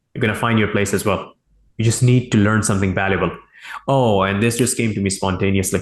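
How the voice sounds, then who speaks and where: A man with a non-native accent talks at a very fast pace. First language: not English. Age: 20s. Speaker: e-commerce entrepreneur, interview guest. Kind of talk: interview. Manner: halting, self-correcting.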